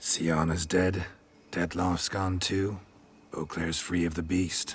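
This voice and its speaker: A man speaks in a put-on character voice with a very deep, low pitch. His pace is fairly slow and his intonation is monotone and flat. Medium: video game. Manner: terse, dry.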